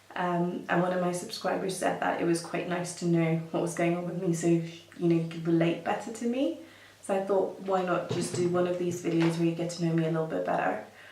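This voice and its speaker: Over noticeable background noise and audible room echo, a woman with a fairly low pitch speaks at a fairly quick pace with fairly even intonation. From Kenya, Nairobi. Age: 30s. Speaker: makeup artist and beauty vlogger. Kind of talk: casual chat. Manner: hesitant, many fillers.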